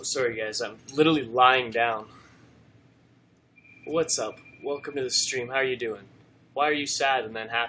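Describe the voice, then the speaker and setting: A man with a medium pitch speaks at a moderate pace in a bright, sharp tone. His intonation stays fairly even, broken by long, frequent pauses. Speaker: livestreamer and documentary maker. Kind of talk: casual live stream chat. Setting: lying down during live stream. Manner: flat, low-energy.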